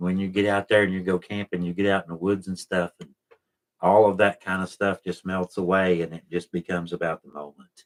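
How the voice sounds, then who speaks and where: With an Appalachian accent, a man speaks in a very deep, low pitch at a moderate pace. His intonation is monotone and flat, and the sound is dry and close with no echo. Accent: Appalachian Southern US. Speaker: YouTube channel host, explorer of historic places. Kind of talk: casual live stream chat, reading viewer comments. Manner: relaxed, conversational.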